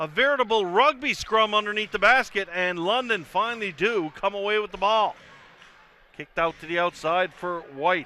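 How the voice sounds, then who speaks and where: A man with lively intonation talks at a moderate pace amid noticeable background noise. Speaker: play-by-play commentator. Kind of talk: live sports commentary. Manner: loud when excited.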